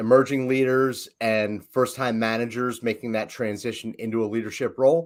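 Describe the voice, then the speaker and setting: A man speaks at a medium pitch and a fairly slow pace in a Philadelphia accent, his intonation fairly even. The recording is very clean, with a silent background. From Philadelphia, US. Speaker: leadership coach, business founder. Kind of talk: casual podcast conversation.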